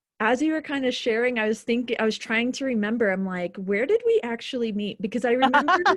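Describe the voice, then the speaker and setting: Over noticeable background noise, a woman with an American accent talks very fast with hardly any pauses, her pitch high and its variation ordinary. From Boise, Idaho, US. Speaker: founder of a healing organization. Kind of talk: casual chat.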